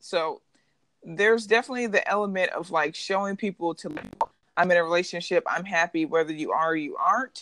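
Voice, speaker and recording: A woman with an unremarkable speaking voice talks at a fairly quick pace. Her pitch varies in an ordinary way, and the background is quiet. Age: 20s. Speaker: podcast co-host. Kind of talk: casual chat.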